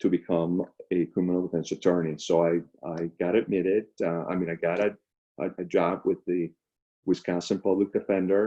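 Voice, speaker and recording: With a Spanish accent, a man speaks in a very deep, low voice and a monotone, flat delivery. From Venezuela, Caracas. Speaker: public defender. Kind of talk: career talk. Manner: halting, many fillers.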